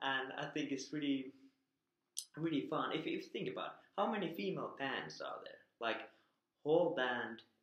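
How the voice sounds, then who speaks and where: A man speaks with a Finnish accent, leaving long, frequent pauses. There is audible room echo. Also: quiet background. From Finland. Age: 30s. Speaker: vlogger. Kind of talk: casual talk to camera. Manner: hesitant. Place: home room. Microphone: webcam.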